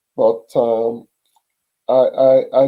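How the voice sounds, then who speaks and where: A man talks with a non-native accent. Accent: non-native accent, noticeable. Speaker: video podcast host. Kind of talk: reflective monologue. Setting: studio. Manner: halting, repeats words.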